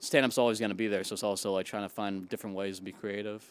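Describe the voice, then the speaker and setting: The speech is very fast, with an American accent and monotone, flat intonation. The recording is very clean and the background silent. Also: man. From Western Massachusetts. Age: 20s. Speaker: comedian. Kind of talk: casual interview. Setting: on location in the East Village.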